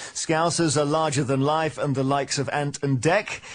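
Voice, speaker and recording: A man's plain, everyday voice at a fairly high pitch, moderate pace and fairly even intonation, over a quiet background. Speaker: radio presenter. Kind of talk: radio show link and introduction.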